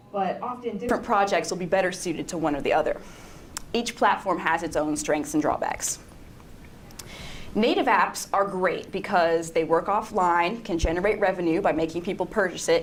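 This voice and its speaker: A woman with an American accent talks at a medium pitch, with audible room echo around her voice. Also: ordinary pitch variation. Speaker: web designer. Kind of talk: conference talk. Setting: stage with audience. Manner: fast.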